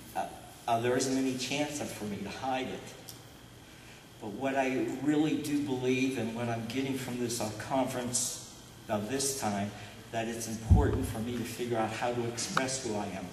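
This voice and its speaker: Noticeable background noise and audible room echo are present. A man talks at a moderate pace. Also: medium pitch for a man. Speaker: accountant speaking at a stuttering conference. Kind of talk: testimony. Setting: conference panel with audience. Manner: halting, frequent uh fillers and repetitions.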